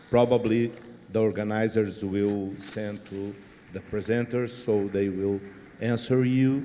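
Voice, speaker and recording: A man with a Portuguese accent, fairly low in pitch, speaking at a fairly slow pace. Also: fairly even intonation. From southern Brazil, Rio Grande do Sul. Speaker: panel moderator. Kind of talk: closing remarks.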